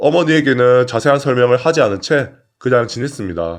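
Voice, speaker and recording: Against a quiet background, a man with an ordinary speaking voice talks at medium pitch and a moderate pace, his intonation lively. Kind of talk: story narration read aloud (reading of a submitted personal story).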